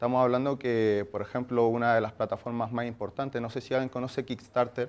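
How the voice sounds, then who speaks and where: His pitch is medium. He speaks at a fairly quick pace. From Chile. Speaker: workshop speaker, marketing agency founder. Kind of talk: workshop talk. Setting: room with live audience. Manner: hesitant, many fillers.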